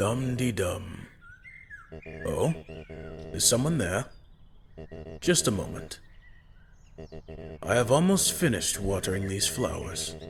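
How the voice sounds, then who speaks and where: Putting on a character voice, a man speaks at a fairly low pitch and a fairly slow pace with long, frequent pauses. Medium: solo performance. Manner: soft, warm, polite.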